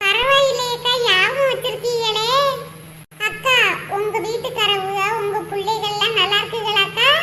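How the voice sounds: A cartoonish character voice at a fairly slow pace, with fairly even intonation and music in the background. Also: woman, extremely high pitch for a woman.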